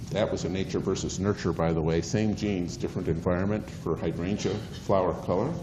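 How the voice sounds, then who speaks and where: A man with a very deep, low pitch talks at a very fast pace, his loudness very even and his intonation fairly even. Audible room echo and noticeable background noise sit behind him. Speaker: university biology lecturer. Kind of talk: lecture. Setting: lecture hall with students. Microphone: cordless mic battery ran out, no mic.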